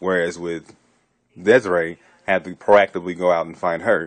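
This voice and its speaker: Against a quiet background, a man speaks with a very deep, low pitch. His pace is fairly quick and his intonation fairly even. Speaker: theater student. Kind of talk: video diary. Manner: monotone.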